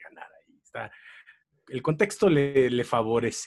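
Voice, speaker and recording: In a Mexican accent, a man speaks with a fairly high pitch. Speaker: comedy tournament analyst. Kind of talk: casual chat.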